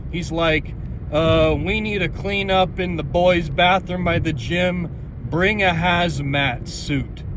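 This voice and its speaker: A man with a high pitch speaks at a very slow pace. Noticeable background noise and audible room echo are present. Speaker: podcast host, school janitor. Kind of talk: casual monologue podcast. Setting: in a car. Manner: animated.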